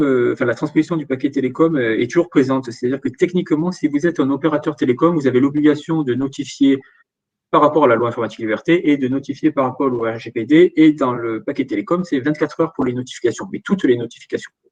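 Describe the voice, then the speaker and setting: This man talks at a very fast pace. His pitch is fairly high, with ordinary pitch variation. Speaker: data protection regulator expert. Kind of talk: webinar Q&A. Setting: online webinar. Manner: halting, many fillers.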